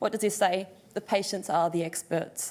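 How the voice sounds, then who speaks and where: With medium pitch and ordinary pitch variation, a woman speaks. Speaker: occupational therapist. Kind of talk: conference presentation. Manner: fast.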